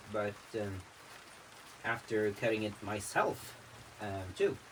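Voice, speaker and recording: A man's fairly low voice in a Norwegian accent, with noticeable background noise behind it. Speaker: vlogger. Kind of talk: casual vlog monologue. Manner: halting.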